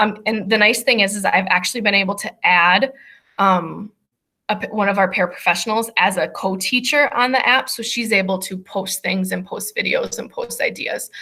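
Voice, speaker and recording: A woman's bright, sharp voice at a moderate pace, with ordinary pitch variation. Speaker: special education teacher. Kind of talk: presentation over video call.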